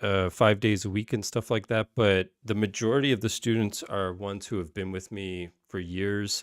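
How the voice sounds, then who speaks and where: A man with a Canadian accent has a normal speaking voice at a fairly low pitch, with fairly even intonation and a moderate pace. The recording is very clean, with a silent background. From Canada. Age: 30s. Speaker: guitar teacher and YouTuber. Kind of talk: livestream Q&A. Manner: casual, many fillers and restarts. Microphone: new microphone.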